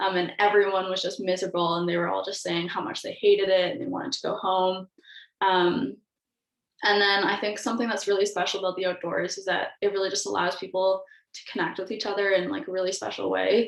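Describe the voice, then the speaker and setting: Speaking very fast with a Canadian accent, a woman uses a medium pitch and ordinary pitch variation. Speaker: university student, outdoor club trip coordinator. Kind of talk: casual group discussion.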